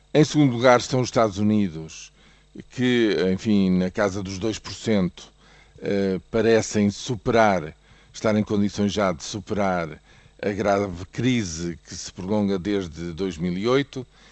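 Speaking at a very slow pace with a European Portuguese accent, a man with a fairly low pitch shows ordinary pitch variation and big swings in loudness. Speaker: economics commentator. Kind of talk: news commentary. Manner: hesitant with fillers.

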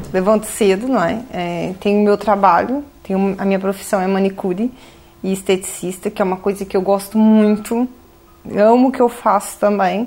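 A woman with an unremarkable speaking voice, medium pitch, moderate pace and fairly even intonation. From Brazil. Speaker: manicurist and home baker. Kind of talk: interview.

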